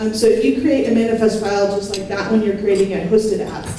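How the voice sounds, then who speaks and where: The speech runs at a fairly quick pace. Noticeable background noise and audible room echo are present. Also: woman. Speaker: conference speaker, tech manager. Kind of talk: conference talk. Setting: stage with audience. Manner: fast.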